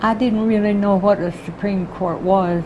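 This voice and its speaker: The speaker has an American accent and a monotone, flat intonation, talking at a moderate pace with noticeable background noise. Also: woman. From Texas, Houston. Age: 80s+. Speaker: retired court clerk. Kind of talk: oral history interview.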